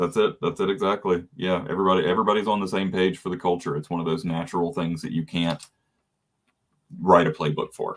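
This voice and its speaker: A man with a Southern US accent, very deep and low in pitch, talking at a very fast pace with ordinary pitch variation. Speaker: podcast host. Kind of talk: casual interview chat.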